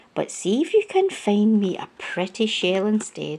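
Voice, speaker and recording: A female-sounding voice speaks in a put-on character voice. Her pitch is medium for a woman and her pace moderate. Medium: read story. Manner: gentle, composed.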